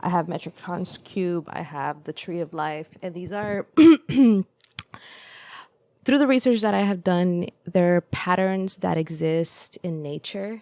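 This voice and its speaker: A woman speaks at a very slow pace in a dark, mellow tone. Her pitch varies in an ordinary way, while her loudness swings widely. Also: fairly low pitch for a woman. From El Salvador. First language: Spanish. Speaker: podcast guest. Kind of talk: casual conversation. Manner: hesitant, many fillers.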